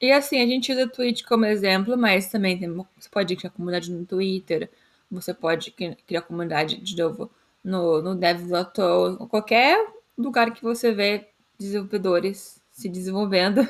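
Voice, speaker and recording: With a plain, everyday voice, a woman speaks at a moderate pace and medium pitch, with ordinary pitch variation. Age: 20s. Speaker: developer relations engineer, podcast co-host. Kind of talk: casual chat.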